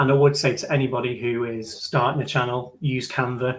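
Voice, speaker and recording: A man with a northern English accent speaks at a medium pitch in a somewhat breathy voice. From northern England. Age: late 20s. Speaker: YouTuber. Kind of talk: live stream Q&A. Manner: fast.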